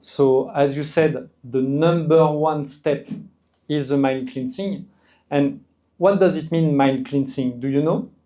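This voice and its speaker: In a French accent, a man with a fairly high pitch and a dark, mellow tone speaks at a fairly slow pace with fairly even intonation. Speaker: skincare brand representative explaining products. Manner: hesitant, repeats words.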